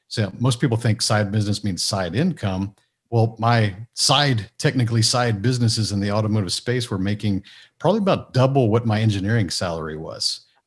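A man's somewhat breathy, medium-pitched voice at a fairly quick pace, on a very clean recording with a silent background. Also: ordinary pitch variation. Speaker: business mentor and author. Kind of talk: interview. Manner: down to earth.

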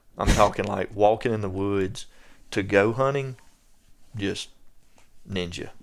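A man with a strong Southern US accent speaks at a fairly slow pace, with long, frequent pauses. His pitch is fairly low and his intonation fairly even, on a very clean recording with a silent background. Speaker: land management expert. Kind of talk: casual chat.

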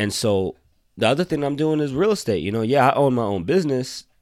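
In a very clean recording with a silent background, a man speaks at a very fast pace with lively intonation. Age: 20s. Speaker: podcast host. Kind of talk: casual monologue. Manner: halting, many fillers.

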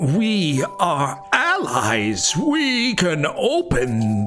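Over loud background music, someone performs a put-on character voice at a middle pitch. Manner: creepy, disturbing.

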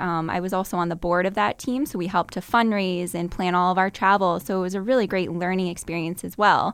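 A woman with an American accent speaks fairly quickly in an unremarkable speaking voice at a medium pitch. The recording is very clean, with a silent background. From Massachusetts, Burlington near Boston. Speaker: finance research analyst. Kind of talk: interview.

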